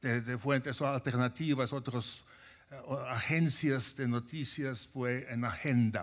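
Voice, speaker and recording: A man with a Finnish accent, a medium pitch and fairly even intonation at a very slow pace, on a very clean recording with a silent background. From Finland. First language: Finnish (speaking Spanish). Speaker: professor. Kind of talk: conference talk. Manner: halting.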